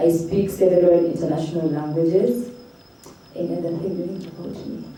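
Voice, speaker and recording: A woman at a moderate pace, with noticeable background noise and audible room echo. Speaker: student leader. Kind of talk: self-introduction at event.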